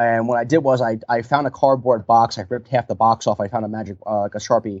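A man talks fairly quickly in an ordinary speaking voice at medium pitch, with ordinary pitch variation. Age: 20s. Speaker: professional mascot performer. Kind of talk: interview.

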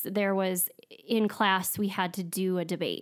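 At a fairly slow pace, a woman with a medium pitch speaks in a strong North Dakota accent, on a very clean recording with a silent background. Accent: strong Upper Midwest North Dakota. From US Upper Midwest (North Dakota). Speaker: dietitian. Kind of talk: casual interview. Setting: studio.

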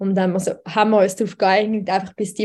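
A woman with a dark, mellow tone and a somewhat breathy, medium-pitched voice speaks on a very clean recording with a silent background. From Switzerland. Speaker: radio news editor and poetry slam author. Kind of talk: casual interview.

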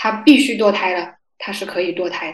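A voice with ordinary pitch variation and audible room echo. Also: woman. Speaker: graduate student. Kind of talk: casual chat.

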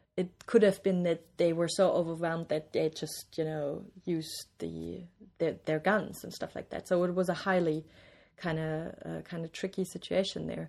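A woman with a German accent talks at a fairly slow pace, her loudness swinging widely. The recording is very clean with a silent background. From East Germany, small city near Bavarian border. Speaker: interview guest, East German-born academic. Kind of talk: interview. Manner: hesitant, many fillers.

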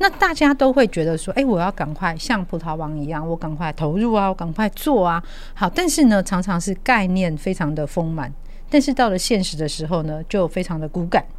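A woman with an unremarkable speaking voice, medium pitch, lively intonation, and a fairly quick pace. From Taiwan. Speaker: podcast host. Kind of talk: interview.

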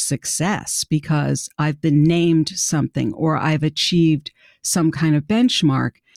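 In a dry, close sound with no echo, a woman with a plain, everyday voice talks at a fairly slow pace and a fairly low pitch. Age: 60s. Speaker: career coach. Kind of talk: interview.

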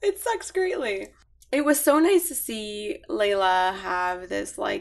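A woman at a medium pitch uses an ordinary speaking voice. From Middle East (Bahrain and Lebanon), moved to Canada at 15. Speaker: podcast guest. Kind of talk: casual chat.

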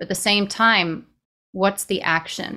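Recorded very cleanly against a silent background, a woman with an American accent speaks in a bright, sharp tone. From New York City. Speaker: nonprofit executive director. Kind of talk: interview.

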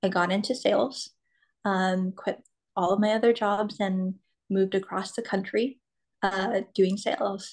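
The intonation stays monotone and flat throughout. The pace is fairly slow, with long, frequent pauses. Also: woman, medium pitch for a woman. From California, US. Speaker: grief coach and motivational speaker. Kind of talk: interview. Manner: halting, many fillers.

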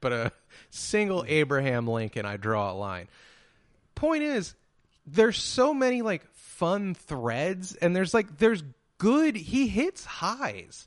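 A man's high-pitched voice with an American accent, very wide pitch swings and a very slow pace, over a quiet background. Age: 30s. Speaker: podcast host. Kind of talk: casual chat.

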